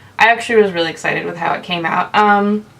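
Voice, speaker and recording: Against noticeable background noise, a woman at a medium pitch speaks at a fairly quick pace with fairly even intonation. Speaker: makeup vlogger. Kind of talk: video intro to camera. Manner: fast.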